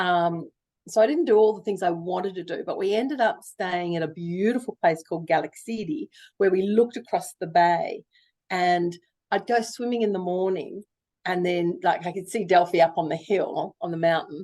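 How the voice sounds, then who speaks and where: This voice has a dark, mellow tone and an Australian accent, moving at a moderate pace with ordinary pitch variation. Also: woman, medium pitch for a woman. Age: 60s. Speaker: novelist. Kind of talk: interview. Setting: video call.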